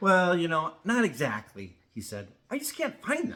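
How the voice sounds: The recording carries a natural reading voice.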